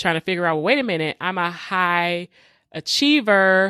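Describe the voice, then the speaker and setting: In a very clean recording with a silent background and a dry, close sound with no echo, a normal speaking voice with an American accent talks at a fairly slow pace with ordinary pitch variation. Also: woman. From Detroit, US. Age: 40s. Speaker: podcast host, faith-based emotional healing. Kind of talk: solo podcast monologue, personal testimony.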